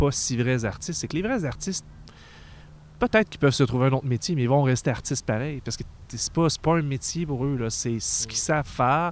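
A man speaks with a Quebec accent at a fairly quick pace. His voice sits fairly high for a man, with ordinary pitch variation. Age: 30s. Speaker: podcast host. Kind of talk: casual chat.

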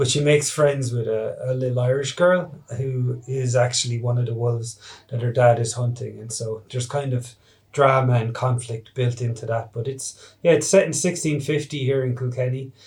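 A somewhat breathy man at medium pitch, with fairly even intonation and a moderate pace. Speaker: animated film director. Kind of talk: interview.

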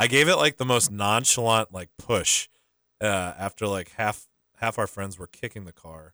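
In a very clean recording with a silent background and a dry, close sound with no echo, a man's fairly low-pitched voice has a bright, sharp tone and big swings in loudness. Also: moderate pace. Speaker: sports podcast co-host. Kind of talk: casual chat. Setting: studio. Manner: monotone.

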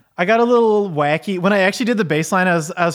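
On a very clean recording with a silent background, a man with an American accent talks very fast with ordinary pitch variation. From Michigan. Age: 30s. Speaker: podcast host and musician. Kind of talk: casual chat.

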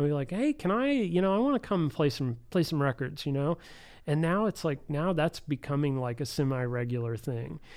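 The speech moves at a fairly quick pace with lively intonation, in a very clean recording with a silent background. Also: man, fairly high pitch for a man, very even loudness. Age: 40s. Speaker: artist. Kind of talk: casual chat. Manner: halting.

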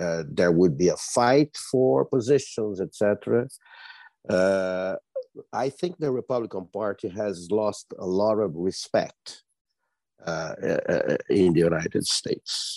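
Very slowly and with long, frequent pauses, a man with a Brazilian accent speaks in a fairly low, dark, mellow voice with lively intonation, the sound dry and close with no echo against a quiet background. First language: Portuguese. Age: 70s. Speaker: journalist and policy analyst. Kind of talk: panel discussion. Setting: video call.

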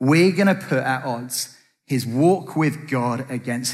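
Speaking with an English accent, a man uses medium pitch and ordinary pitch variation. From Britain. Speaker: preacher. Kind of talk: sermon.

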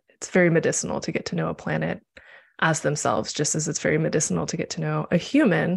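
Speaking at a fairly quick pace, a woman talks with a Midwestern US accent. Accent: General American, Midwestern. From US Midwest (Nebraska, Missouri, Chicago). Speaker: astrologer and tarot reader. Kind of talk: casual conversation on a livestream.

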